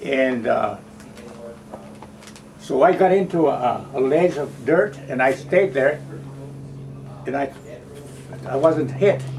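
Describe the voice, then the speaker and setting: Over music in the background, a man speaks at a fairly high pitch with ordinary pitch variation. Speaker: war veteran. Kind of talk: interview answer.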